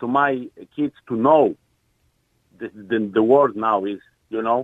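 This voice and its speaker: This is a man speaking. He talks with a Polish accent. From Poland. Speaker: caller. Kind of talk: radio phone-in. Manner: halting.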